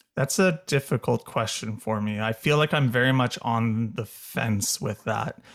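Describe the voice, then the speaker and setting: At a fairly slow pace, a man talks in an unremarkable speaking voice at medium pitch. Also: ordinary pitch variation. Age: 30s. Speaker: cultural anthropologist. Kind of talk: interview.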